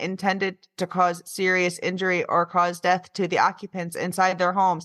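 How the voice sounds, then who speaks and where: A female-sounding, robotic put-on character voice speaks at a moderate pace and medium pitch in a very clean recording with a silent background. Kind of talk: formal, quoting a legal statement.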